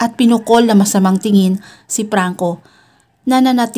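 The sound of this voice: With a quiet background and ordinary pitch variation, the speaker uses an unforced reading voice.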